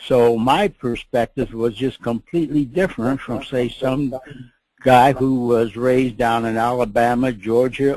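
The speaker has an Upper Midwest accent and a dark, mellow tone. The pace is fairly slow. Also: man. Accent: Upper Midwest American. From Minneapolis, Minnesota. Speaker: WWII fighter pilot veteran. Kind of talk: interview reminiscence. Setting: online webinar audio connection.

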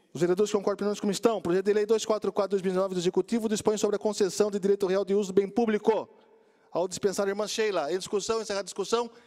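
A man's high-pitched, monotone voice with flat intonation at a very fast pace over a quiet background. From Brazil. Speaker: city council president. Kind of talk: chairing a council session; heated debate. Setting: city council chamber. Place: hall. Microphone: podium.

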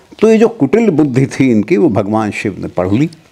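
Very wide pitch swings mark this man's speech, along with vocal fry. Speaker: guest. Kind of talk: interview answer, storytelling. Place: home room. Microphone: lapel.

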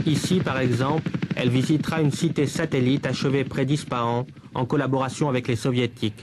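Over noticeable background noise, a man speaks at a fairly quick pace in a medium pitch. His intonation is fairly even, and his loudness stays very even. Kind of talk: 1978 newsreel narration and interviewer questions. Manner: formal, measured, crisp documentary-style delivery; even-paced, authoritative voice-over.

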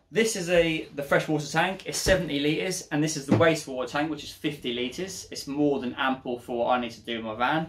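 A man's fairly quick speech with ordinary pitch variation over noticeable background noise. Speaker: van conversion vlogger. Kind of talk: tutorial. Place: garage.

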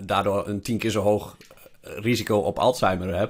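Monotone and flat in intonation, this man talks at a fairly low pitch. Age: 30s. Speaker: podcast host, investor. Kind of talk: casual chat. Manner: halting.

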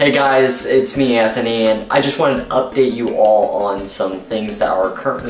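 With music in the background and audible room echo, a man speaks at a moderate pace. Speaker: vlogger. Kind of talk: casual vlog chat. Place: home room.

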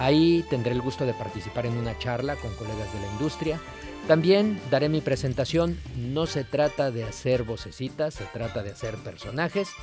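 A man with a Mexican accent speaks at a moderate pace, his pitch swinging very widely, over clear background music in a dry recording with no echo. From Mexico. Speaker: voice actor and dubbing director. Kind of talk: promotional message to camera. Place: studio.

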